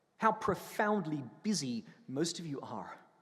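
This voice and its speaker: A man speaks at a fairly slow pace with very wide pitch swings. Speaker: priest. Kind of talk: sermon. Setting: church.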